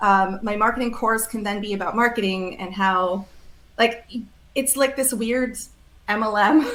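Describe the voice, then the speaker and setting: A woman's fairly high voice at a moderate pace, with fairly even intonation, long, frequent pauses and audible room echo. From Switzerland. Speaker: ethical marketing founder. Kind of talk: interview conversation.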